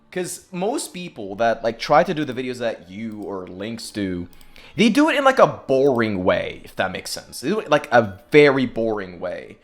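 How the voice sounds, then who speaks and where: Over noticeable background noise, a man at a medium pitch speaks at a moderate pace with very wide pitch swings and big swings in loudness. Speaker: podcast host. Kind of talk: podcast interview.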